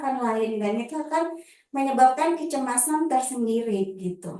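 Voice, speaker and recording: A woman speaks at a moderate pace in a high pitch with lively intonation and a dark, mellow tone, and the room echo is audible. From Java, Banyuwangi. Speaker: public speaking trainer. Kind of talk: workshop talk. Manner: casual, conversational.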